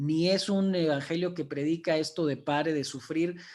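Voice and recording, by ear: A man at a moderate pace, fairly high in pitch, with a slightly mellow tone and ordinary pitch variation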